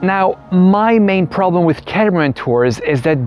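At a moderate pace, a man speaks in a slightly mellow tone over faint background noise.

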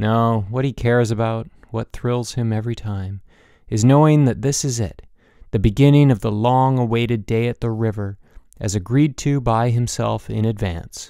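Recorded very cleanly against a silent background, a man speaks at a moderate pace in a normal speaking voice with a medium pitch and fairly even intonation. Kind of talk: literary audiobook reading, intimate third-person narration.

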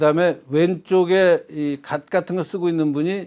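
On a very clean recording with a silent background, a man with a normal speaking voice talks at a fairly slow pace, his pitch fairly high and its variation ordinary. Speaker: retired professor. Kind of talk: interview on history.

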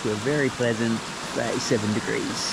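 Over loud background noise, a man talks at a fairly slow pace with ordinary pitch variation, the sound dry with no echo. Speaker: travel vlogger. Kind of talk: casual vlog chat. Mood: relaxed, cheerful. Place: waterside. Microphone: phone near.

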